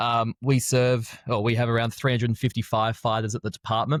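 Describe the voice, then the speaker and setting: A man with an Australian accent talks at a very fast pace in a fairly low pitch, heard on a very clean recording with a silent background and a dry, close sound with no echo. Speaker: strength and conditioning coach. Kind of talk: podcast interview.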